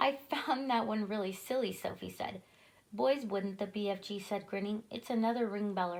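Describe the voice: What we hear is someone reading aloud in a plain way.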